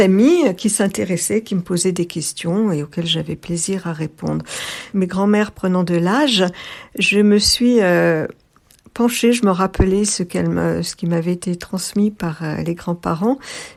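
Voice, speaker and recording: At a very slow pace with long, frequent pauses, a woman talks in a medium pitch with ordinary pitch variation. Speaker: interviewee, former pied-noir. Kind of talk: testimony. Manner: halting, many hesitations; soft-spoken, introverted.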